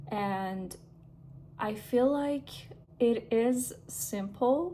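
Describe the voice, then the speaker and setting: A woman with a non-native accent. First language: not English. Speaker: lifestyle vlogger. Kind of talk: casual vlog monologue. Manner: casual, with hesitations and fillers.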